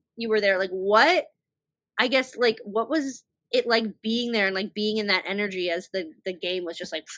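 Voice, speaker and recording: Her pitch fairly high with ordinary variation, a woman talks at a moderate pace. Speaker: podcast host. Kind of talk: casual chat. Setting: video podcast on laptop. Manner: halting.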